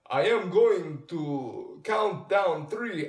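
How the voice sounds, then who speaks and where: A man puts on a character voice. It sits at a high pitch. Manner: put-on, playful.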